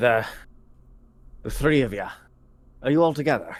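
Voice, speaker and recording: Put-on character voice from a man, moderate in pace and medium in pitch. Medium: actual play. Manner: courteous.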